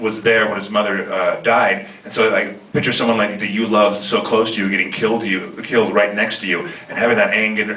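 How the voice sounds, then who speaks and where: The speech comes at a fairly quick pace with hardly any pauses, set against noticeable background noise and audible room echo. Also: man. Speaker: actor. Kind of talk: panel Q&A. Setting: stage with audience. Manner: halting, stuttering.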